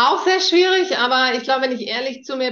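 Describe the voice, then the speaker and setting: This woman's recording carries noticeable background noise and audible room echo. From northern Germany, near East Frisia. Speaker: startup founder. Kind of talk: interview. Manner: hesitant fillers.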